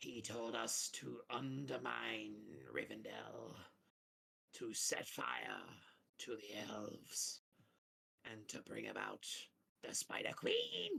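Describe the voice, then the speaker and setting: A raspy, put-on character voice moves at a very slow pace. Long pauses come often. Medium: actual play. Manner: menacing, haughty.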